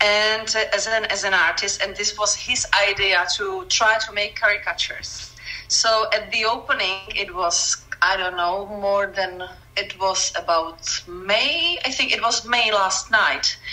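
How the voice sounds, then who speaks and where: A woman with a medium-pitched voice speaks fairly slowly while noticeable background noise plays behind her. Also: ordinary pitch variation. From Czech Republic. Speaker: caricature artist, former art teacher. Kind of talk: casual interview. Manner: halting, many self-corrections.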